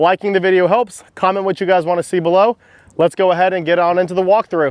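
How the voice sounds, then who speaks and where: Speaking at a very fast pace, a man uses a high pitch and a fairly even intonation. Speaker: yacht broker and boat reviewer. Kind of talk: boat walkthrough review. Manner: casual, conversational.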